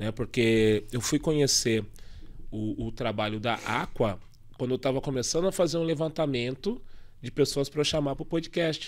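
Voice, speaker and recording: A man at a medium pitch, moderate pace, ordinary pitch variation. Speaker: podcast host and poet; podcast host, poet. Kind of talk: casual chat. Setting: studio. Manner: animated. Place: studio. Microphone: studio mic.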